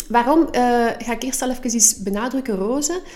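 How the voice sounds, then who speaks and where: With a Flemish accent, a woman speaks at a moderate pace in a high pitch over noticeable background noise. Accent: Flemish Dutch. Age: 40s. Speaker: podcast co-host. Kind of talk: casual chat.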